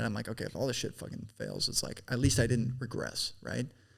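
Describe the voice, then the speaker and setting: With vocal fry, a man speaks at a medium pitch in a monotone, flat intonation. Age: 20s. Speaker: business founder. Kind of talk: casual chat.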